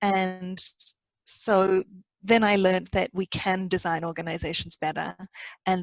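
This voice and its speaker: A woman with an Australian accent, fairly even in intonation, in a dry, close sound with no echo. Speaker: organization design consultant. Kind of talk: podcast interview.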